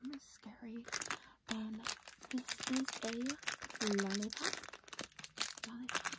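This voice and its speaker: Loud noise in the background behind a woman's fairly slow delivery. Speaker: product showcase vlogger. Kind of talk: casual vlog chat. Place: home room. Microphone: phone near.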